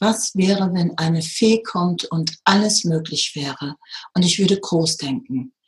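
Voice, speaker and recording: Speaking at a fairly slow pace, a woman has an unremarkable speaking voice pitched fairly low. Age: 50s. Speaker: spiritual teacher and medium. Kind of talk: interview.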